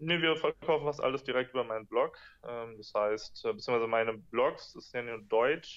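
A man talks at a moderate pace. His loudness swings widely. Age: 20s. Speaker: entrepreneur and blogger; interview guest, entrepreneur blogger. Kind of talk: interview. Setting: video call.

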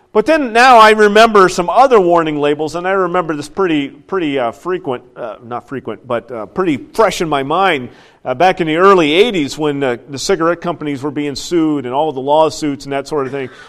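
Against a quiet background, the speech moves at a fairly quick pace with hardly any pauses. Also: man. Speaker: pastor. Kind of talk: sermon. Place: church.

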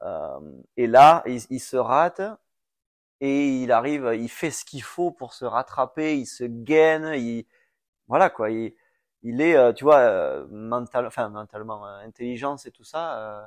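Against a quiet background, a man speaks very slowly at a medium pitch, with ordinary pitch variation, big swings in loudness and long, frequent pauses. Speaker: former supercross racer and coach. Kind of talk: casual chat. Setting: at home on a couch.

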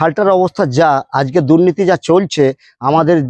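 A man with an unremarkable speaking voice talks in a fairly high pitch. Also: dry, close sound with no echo. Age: 40s. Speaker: farmer. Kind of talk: street interview.

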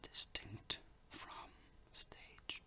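Whispering from a man over noticeable background noise. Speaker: ASMR creator. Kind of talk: ASMR educational talk. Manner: whispered.

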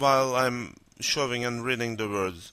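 A man with a Turkish accent speaks at a fairly slow pace on a very clean recording with a silent background. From North Cyprus. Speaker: language teacher. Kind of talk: educational lesson narration.

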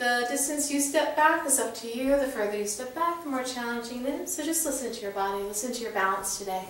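Over noticeable background noise, a woman talks at a moderate pace in a high voice with lively intonation. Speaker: yoga instructor. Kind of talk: guided yoga class, instructions. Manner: calm, soothing; brisk rhythmic counting cues during exercise.

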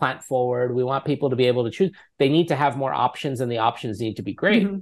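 Against a quiet background, a man speaks with a New York accent and ordinary pitch variation. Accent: American (New York). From New York City. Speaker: app founder and CEO. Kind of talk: interview. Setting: remote call. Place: home room. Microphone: earbuds.

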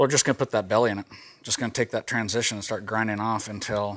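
Rattling along at a very fast pace, a man speaks with a fairly low pitch. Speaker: sharpening instructor. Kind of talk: tutorial. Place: workshop. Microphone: lapel.

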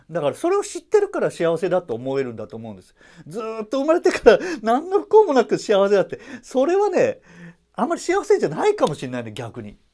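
Against a quiet background, a man talks at a very fast pace. His loudness swings widely. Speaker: double bass player and YouTuber. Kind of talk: casual vlog talk. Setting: at home. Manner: many fillers, rambling run-on speech. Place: hall. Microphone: lapel.

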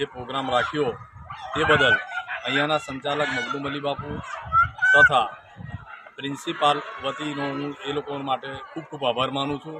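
Noticeable background noise sits behind a man's voice. His pitch is fairly high and his intonation monotone and flat. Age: 50s. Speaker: grocery trader. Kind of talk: short speech of thanks. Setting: school event. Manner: halting.

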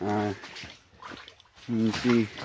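Very slowly, a man talks with a fairly low pitch, little pitch movement, a slightly mellow tone and a slightly husky edge.

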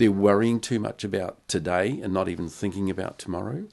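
Over a quiet background, a man with a New Zealand accent speaks at a fairly low pitch with ordinary pitch variation. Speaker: podcast host. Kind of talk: casual chat. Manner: halting. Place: studio. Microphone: studio mic.

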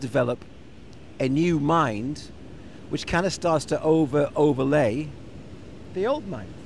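Here a man speaks over light background noise. The sound is dry, with no echo. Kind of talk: casual reflective chat. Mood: relaxed, thoughtful. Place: garden. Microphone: handheld.

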